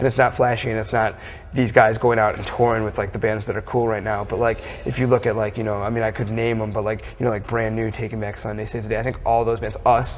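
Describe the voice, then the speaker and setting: The delivery is very fast. Intonation stays monotone and flat, with noticeable background noise. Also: man, medium pitch for a man. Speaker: rock band bassist and lyricist. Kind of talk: interview answer.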